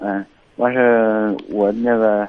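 This man's voice sits fairly low and stays monotone and flat. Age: 30s. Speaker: caller. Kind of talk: call-in advice talk. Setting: phone call. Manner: halting.

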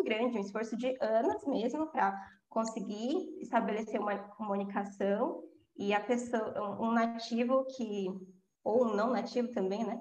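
A woman speaks at a fairly slow pace with a fairly high pitch. Her pitch varies in an ordinary way, and the room echo is audible. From São Paulo, east zone. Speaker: English teacher. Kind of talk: casual interview chat.

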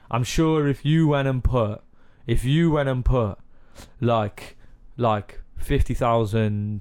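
In a very clean recording with a silent background, a man with a Cardiff accent speaks with ordinary pitch variation. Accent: Cardiff Welsh. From Cardiff, Wales. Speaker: musician interviewer.

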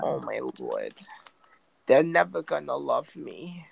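A man's nasal, put-on character voice at a fairly slow pace. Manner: whiny, self-pitying, mocking.

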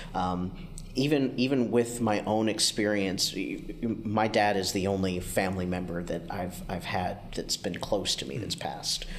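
Fairly low in pitch, a man with an ordinary speaking voice talks at a moderate pace with ordinary pitch variation. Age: 40s. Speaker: podcast host, hospice caregiver. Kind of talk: casual interview.

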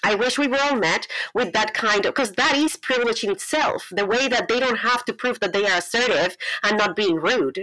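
A woman talks with a Colombian accent. Her pitch is high and her pace fairly quick. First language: Spanish. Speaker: pastor and writer. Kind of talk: interview conversation. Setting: video call.

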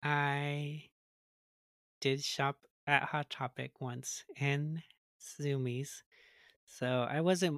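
A man with an American accent speaks very slowly at a fairly high pitch in a monotone, flat way, with long, frequent pauses, in a very clean, dry, close recording with no echo and a silent background. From Mexican American. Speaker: podcast co-host. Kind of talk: casual chat.

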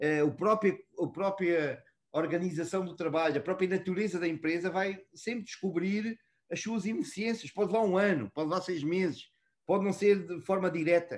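A man's high voice moves at a moderate pace, its pitch varying in an ordinary way. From born in Mozambique, raised in Portugal (Lisbon south bank). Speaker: customer experience and contact center professional. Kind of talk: casual interview.

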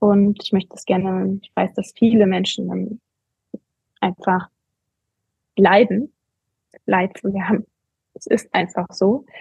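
A woman speaks very slowly at a medium pitch, in a dark, mellow tone with fairly even intonation. Her long, frequent pauses come through a dry, close sound with no echo. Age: 40s. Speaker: coach and competitive runner. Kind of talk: interview. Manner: halting, many fillers.

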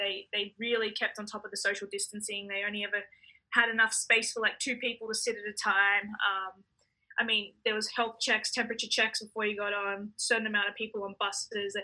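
Her fairly high pitch and bright, sharp tone carry an Australian accent as this woman speaks at a fairly quick pace with monotone, flat intonation. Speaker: professional tennis player. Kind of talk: interview. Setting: hotel quarantine room.

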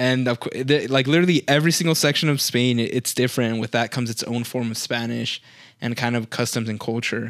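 A man with a northern Mexican accent and medium pitch, very fast and fairly even in intonation, in a very clean recording with a silent background. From northern Mexico. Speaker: podcast co-host. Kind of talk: casual chat.

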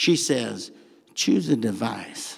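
A man with a Southern US accent speaks with lively intonation and vocal fry. The recording is very clean, with a silent background. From US South. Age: 60s. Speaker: pastor. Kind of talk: sermon. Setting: church.

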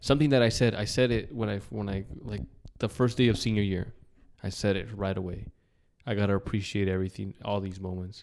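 A man in a normal speaking voice talks fairly quickly and fairly low with fairly even intonation, on a very clean recording against a silent background. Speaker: podcast host. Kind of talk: casual chat.

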